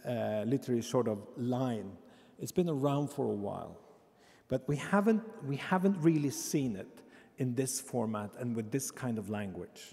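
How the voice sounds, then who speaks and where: The speaker has a Norwegian accent, lively intonation and a moderate pace. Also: man, medium pitch for a man. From Norway. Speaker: embassy representative. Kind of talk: introduction speech. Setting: stage with audience.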